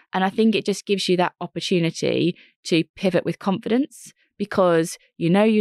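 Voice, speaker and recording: A woman has a plain, everyday voice, speaking at a fairly quick pace with ordinary pitch variation against a quiet background. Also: dry, close sound with no echo. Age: 40s. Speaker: entrepreneur and careers author. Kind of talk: interview.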